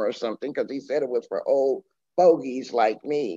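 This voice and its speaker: A woman's very deep, low voice with a dark, mellow tone, at a moderate pace over a quiet background. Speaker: guest lecturer. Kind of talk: lecture. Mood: warm, with some laughter. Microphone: video call.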